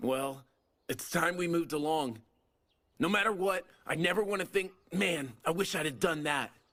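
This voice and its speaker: A man's put-on character voice, high-pitched and raspy, at a moderate pace broken by long, frequent pauses. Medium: short film. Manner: brash, breezy.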